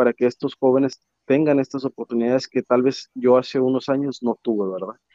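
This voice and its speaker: A man talks at a moderate pace. His medium pitch stays fairly even. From Mexico, Tampico, Tamaulipas. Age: 20s. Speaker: engineer and youth community leader. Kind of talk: interview. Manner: hesitant, many filler words.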